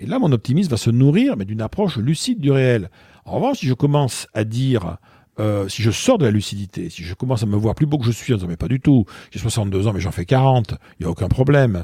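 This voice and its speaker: A man speaks at a very fast pace with a medium pitch and lively intonation. His tone is dark and mellow, and somewhat breathy. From southwestern France, Bordeaux. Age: 60s. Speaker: author and public speaker. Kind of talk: interview conversation. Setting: in person. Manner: hesitant, many fillers.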